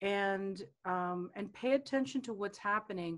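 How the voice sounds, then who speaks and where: In a very clean recording with a silent background, a woman with a normal speaking voice talks at medium pitch with lively intonation. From South American home. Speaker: business coach and guest. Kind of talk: casual interview chat.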